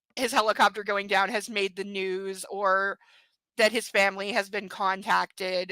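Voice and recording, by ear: A quiet background while reading aloud in a natural voice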